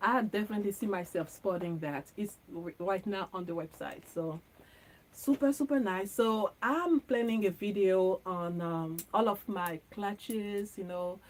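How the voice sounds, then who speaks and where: Speaking with a French accent, a woman uses a medium pitch with ordinary pitch variation. Her pace is fairly slow. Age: 40s. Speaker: fashion content creator. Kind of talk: casual chat. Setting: livestream from home studio. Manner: chatty, with many fillers.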